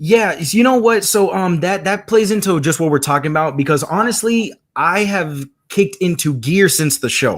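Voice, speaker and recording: Pitched high, a man speaks at a moderate pace with lively intonation. The recording is very clean, with a silent background. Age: 20s. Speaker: visual artist. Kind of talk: casual chat. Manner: halting.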